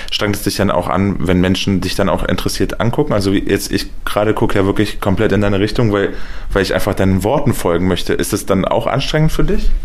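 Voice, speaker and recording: Delivered at a very fast pace with ordinary pitch variation and very even loudness, the speech comes with noticeable background noise and audible room echo. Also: man, fairly low pitch for a man. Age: 30s. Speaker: radio reporter. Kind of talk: interview. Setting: at the guest's home. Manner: animated.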